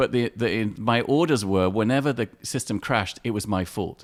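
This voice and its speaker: Delivered with lively intonation at a moderate pace, the voice carries an English accent in a very clean recording with a silent background. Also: man. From England (London) and Morocco (Casablanca). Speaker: artist and photographer. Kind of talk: casual interview.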